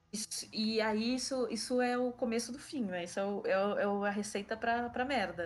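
A woman at a moderate pace with fairly even intonation, a normal speaking voice. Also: fairly high pitch for a woman, hardly any pauses. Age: 30s. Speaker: podcast co-host, pop culture fan. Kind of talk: casual chat.

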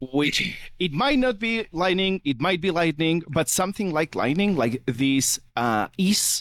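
On a very clean recording with a silent background and a dry, close sound with no echo, a man speaks at a fairly slow pace. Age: 30s. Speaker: software developer. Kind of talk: casual chat.

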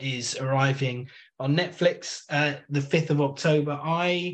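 A somewhat breathy man speaks at a fairly high pitch with fairly even intonation. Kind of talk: casual chat. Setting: remote recording.

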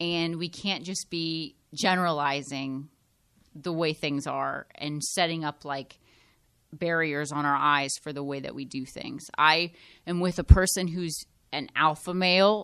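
A woman with an unremarkable speaking voice, fairly low in pitch, at a fairly slow pace, with fairly even intonation and big swings in loudness. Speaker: podcast host. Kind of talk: casual chat.

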